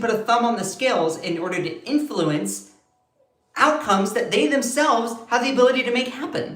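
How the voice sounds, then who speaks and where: With an American accent, a man talks at a moderate pace in a high pitch, his tone animated and his intonation lively, with audible room echo around him. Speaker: political commentary streamer. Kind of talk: live stream commentary. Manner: slurs words sometimes.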